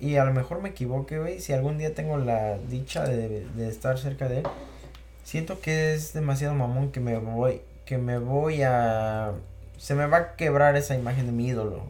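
A man's medium-pitched, somewhat breathy voice, with ordinary pitch variation and a moderate pace. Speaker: podcast host. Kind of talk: casual chat.

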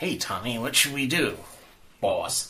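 Here a man uses a put-on character voice. It sits fairly high for a man and moves at a fairly slow pace. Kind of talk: tough-guy street talk. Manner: gruff, acted.

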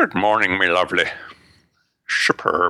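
At a moderate pace, the speaker performs in a put-on character voice. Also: man. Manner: jokey, exaggerated.

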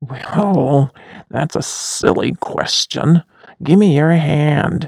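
A growling put-on character voice at middle pitch moves at a very slow pace. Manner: snarling, hostile.

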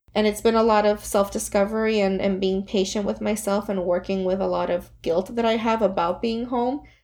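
Speaking at a fairly quick pace with hardly any pauses, a woman keeps fairly even intonation at a medium pitch over a quiet background. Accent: Puerto Rican. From Puerto Rico. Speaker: therapist. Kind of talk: podcast interview.

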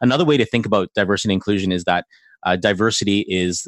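Speaking at a very fast pace, this is a man. His pitch is fairly low. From Canada (Chinese Canadian). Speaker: ministry centre director. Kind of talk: interview. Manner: halting, many restarts.

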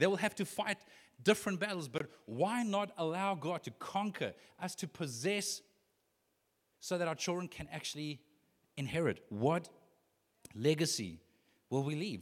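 The recording is very clean, with a silent background. A man speaks in an animated tone with lively intonation. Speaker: pastor. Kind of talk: sermon.

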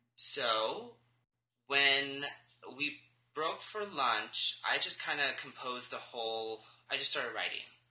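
The voice moves at a very slow pace with lively intonation and a bright, sharp tone, broken by long, frequent pauses amid audible room echo. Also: man, fairly high pitch for a man. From Los Angeles, California. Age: 20s. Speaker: interview guest, therapy student. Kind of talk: interview.

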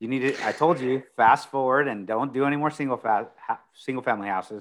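In a Texan accent, a man talks at a fairly quick pace. His medium pitch has ordinary variation. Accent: Texan American. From Texas, Corpus Christi. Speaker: commercial real estate broker. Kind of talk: interview. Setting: live stream interview.

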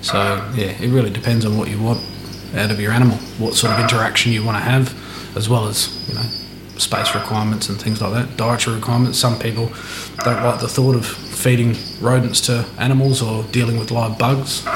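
In an Australian accent, a man talks at a medium pitch and a fairly quick pace with monotone, flat intonation, amid noticeable background noise and audible room echo. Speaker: reptile breeder and keeper. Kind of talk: casual interview chat. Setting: at his home beside animal enclosures. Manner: hesitant, many fillers.

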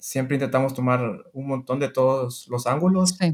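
Speaking at a moderate pace, the man has a fairly high pitch with ordinary pitch variation. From Honduras. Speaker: online seller and biomedical engineer. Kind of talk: interview.

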